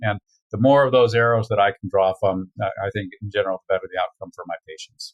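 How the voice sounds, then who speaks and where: In a dry, close sound with no echo, a man speaks very fast at medium pitch in a somewhat breathy voice. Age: 60s. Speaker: veterinarian. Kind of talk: interview. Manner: halting.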